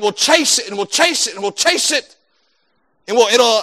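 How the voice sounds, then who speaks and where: Raising and projecting his voice, a man speaks in a high pitch with a bright, sharp tone and ordinary pitch variation. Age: 30s. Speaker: pastor. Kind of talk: sermon.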